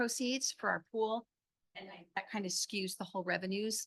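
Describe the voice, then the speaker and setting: A woman's bright, sharp tone carries vocal fry, the sound dry and close with no echo. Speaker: city finance officer. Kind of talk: budget presentation at public meeting. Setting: city council meeting. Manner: fast.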